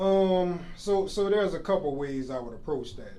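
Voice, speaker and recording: With a New Orleans accent, a man speaks at a moderate pace with a fairly high pitch and a dark, mellow tone, with audible room echo. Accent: New Orleans accent, still noticeable. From New Orleans, US South. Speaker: army warrant officer. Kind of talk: podcast interview. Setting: office.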